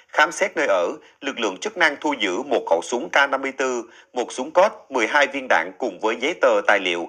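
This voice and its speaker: A man's fairly high pitch carries a bright, sharp tone and vocal fry, swinging very widely in pitch at a moderate pace. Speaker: news presenter. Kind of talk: news reading. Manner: formal.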